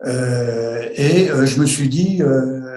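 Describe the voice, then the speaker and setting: Audible room echo surrounds a man with a fairly high pitch. His voice is somewhat breathy, with a dark, mellow tone. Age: 70s. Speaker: retired airline pilot. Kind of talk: testimony. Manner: halting, many hesitations.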